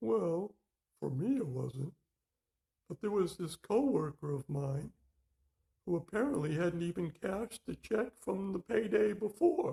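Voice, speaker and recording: A man uses a cartoonish character voice with a high pitch. He keeps a moderate pace, broken by long, frequent pauses. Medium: puppet.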